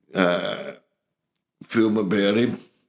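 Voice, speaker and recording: The voice has an Australian accent. Its intonation is fairly even. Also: man. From rural Australia. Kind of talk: interview answer. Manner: casual, reminiscing.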